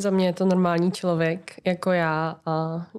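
A woman speaks with a fairly low pitch. Her intonation stays monotone and flat. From Czechia, near Brno (South Moravia). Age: 20s. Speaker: podcast guest, listener. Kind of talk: casual interview chat.

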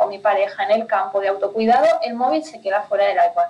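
The woman talks at a very fast pace. Her pitch is fairly high, with ordinary pitch variation. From Spain, Pyrenees (north). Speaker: finance consultant for entrepreneurs. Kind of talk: interview.

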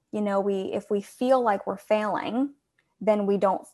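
Against a quiet background, a woman with a medium pitch speaks in a calm tone with ordinary pitch variation. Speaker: support group founder. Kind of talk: casual chat.

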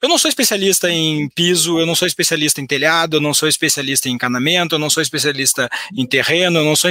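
Over noticeable background noise, a man with a high pitch talks at a very fast pace with ordinary pitch variation, the sound dry and close with no echo. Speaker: economist and educator. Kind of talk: finance webinar. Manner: halting, frequent repetitions.

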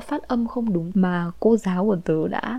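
Speaking at a fairly slow pace, a woman with a medium pitch has a dark, mellow, somewhat breathy tone and ordinary pitch variation. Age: 20s. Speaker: podcaster. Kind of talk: personal storytelling monologue.

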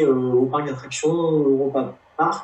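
Very slow speech over noticeable background noise. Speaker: podcast host. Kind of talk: casual interview.

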